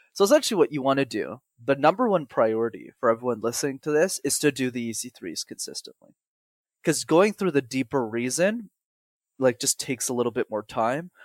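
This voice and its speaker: Pitched fairly high, a man speaks at a fairly quick pace in a dry, close recording with no echo. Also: lively intonation, very clean recording, silent background. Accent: Montreal. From Montreal, Canada. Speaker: public speaking coach. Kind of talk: podcast interview. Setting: call.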